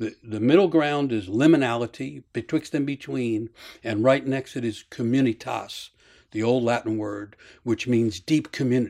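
With an American accent, a man talks in a normal speaking voice at medium pitch. His pace is moderate and his pitch variation ordinary. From US. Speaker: storyteller and mythology author. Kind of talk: interview with storytelling. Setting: video call, standing up.

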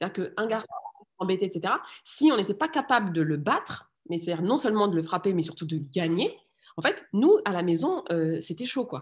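A woman talks fairly quickly at a medium pitch, somewhat breathy, with very wide pitch swings. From France. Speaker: political scientist and parent activist. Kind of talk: interview conversation. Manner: halting, many hesitations and repeated words.

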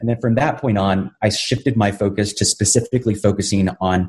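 A man speaks with a somewhat breathy voice. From South Texas border town, Brownsville. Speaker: vegan chef and animal advocate. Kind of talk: interview conversation.

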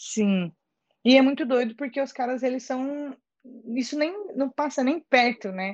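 Against a quiet background, a woman speaks at a fairly slow pace in a high voice with lively intonation. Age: 20s. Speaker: actress and social media creator. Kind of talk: casual chat. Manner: animated.

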